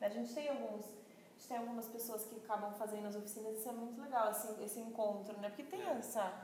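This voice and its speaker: At a very fast pace with hardly any pauses, the speech has fairly even intonation amid noticeable background noise and audible room echo. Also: woman, fairly high pitch for a woman. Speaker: crafts marketplace employee. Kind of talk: casual chat.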